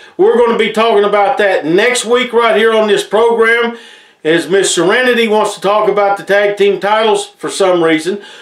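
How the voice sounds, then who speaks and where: With an American accent, a man talks at a moderate pace in a high voice with ordinary pitch variation, his words carrying audible room echo over a quiet background. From Appalachia, Tennessee/Virginia region. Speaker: wrestling show host. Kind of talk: promotional show hosting, announcements. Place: studio.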